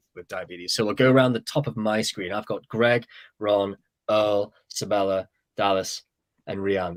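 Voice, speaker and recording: A man with a British accent, fairly low in pitch, with ordinary pitch variation and a dry, close sound free of echo. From Britain. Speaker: webinar host. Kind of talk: panel discussion moderation. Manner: halting, many repetitions.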